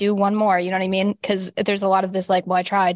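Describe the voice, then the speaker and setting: A woman's medium-pitched voice with an American accent at a very fast pace, with a dry, close sound and no echo. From US Rust Belt. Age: 30s. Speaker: comedian and podcast host. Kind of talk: casual interview chat.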